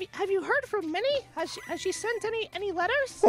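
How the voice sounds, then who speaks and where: In a cartoonish character voice pitched extremely high, a man speaks at a moderate pace over clear background noise. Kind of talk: comic overacting, cartoon impression. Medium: virtual streamer. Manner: flustered, scolding, exclaims gosh.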